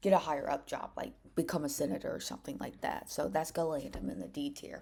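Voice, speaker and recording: Deep and low in pitch, a woman's voice carries vocal fry and a dark, mellow tone. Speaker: political commentary youtuber. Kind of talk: casual commentary. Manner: halting, stuttering.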